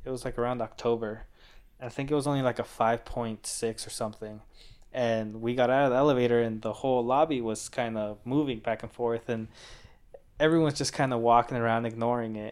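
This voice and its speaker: A man's fairly quick, monotone voice with flat intonation and an American accent. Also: medium pitch for a man. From Southern California, Orange County. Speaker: landscaper. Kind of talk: casual chat.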